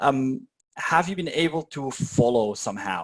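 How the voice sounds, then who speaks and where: A man's medium-pitched voice varies in pitch in an ordinary way and moves at a moderate pace. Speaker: YouTube educator giving a talk. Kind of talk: online meetup tutorial. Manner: halting, many fillers.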